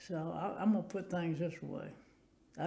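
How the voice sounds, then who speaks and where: In a Tennessee accent, a man speaks at a moderate pace with audible room echo. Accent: US Southern, Tennessee. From Tennessee, Nashville. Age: 90s. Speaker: war veteran. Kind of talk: oral history interview. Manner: halting.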